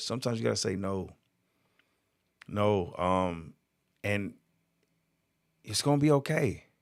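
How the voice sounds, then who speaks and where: A man with an American accent talks at a fairly low pitch in a very clean recording over a silent background. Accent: Southern drawl, comes out at times. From Georgia, US South. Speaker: motivational speaker. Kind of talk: live stream monologue. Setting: live video stream. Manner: slurs words at times.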